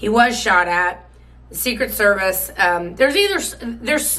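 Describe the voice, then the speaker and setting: A woman's medium-pitched voice with a bright, sharp tone, vocal fry, and lively intonation at a moderate pace, in audible room echo. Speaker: political commentary host. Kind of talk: political commentary monologue. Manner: casual, hesitant with fillers.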